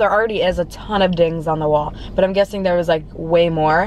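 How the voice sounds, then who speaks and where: A woman speaks at a fairly quick pace. The sound is dry with no echo, over light background noise. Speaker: food vlogger. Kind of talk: casual vlog chat. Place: car.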